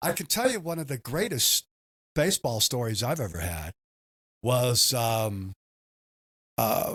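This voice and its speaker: On a very clean recording with a silent background and a dry, close sound with no echo, a man with an American accent and a medium pitch talks at a fairly slow pace, with very wide pitch swings and long, frequent pauses. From Southern California. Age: 60s. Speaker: baseball team owner. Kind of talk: podcast interview.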